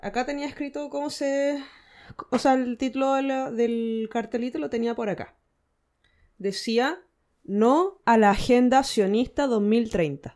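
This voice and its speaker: Speaking very slowly with a Chilean accent, a woman uses a high pitch. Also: ordinary pitch variation, very clean recording, silent background. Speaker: podcast co-host. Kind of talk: casual chat.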